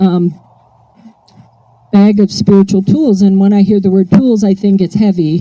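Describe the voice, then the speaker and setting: Here a woman talks at a moderate pace in a medium-pitched voice. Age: 60s. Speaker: AA speaker. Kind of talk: recovery talk. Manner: animated.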